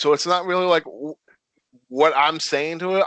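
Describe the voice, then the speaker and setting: Mumbling at a moderate pace, a man with an American accent speaks in a fairly high voice with a bright, sharp tone, in a dry, close sound with no echo. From Connecticut. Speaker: professional wrestler. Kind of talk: casual interview. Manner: stutters and mumbles.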